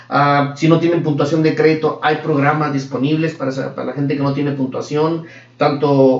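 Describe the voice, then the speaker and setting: Over noticeable background noise and audible room echo, a man talks at a fairly quick pace with a fairly high pitch. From Mexico. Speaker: mortgage loan officer. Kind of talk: casual interview.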